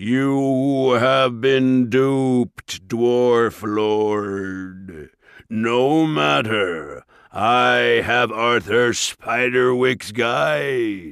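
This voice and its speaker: Putting on a booming character voice, a woman speaks at a very slow pace and a very deep, low pitch on a very clean recording with a silent background. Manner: menacing, contemptuous.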